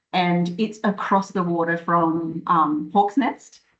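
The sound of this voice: A woman's fairly low pitch, fairly bright tone, slow pace and fairly even intonation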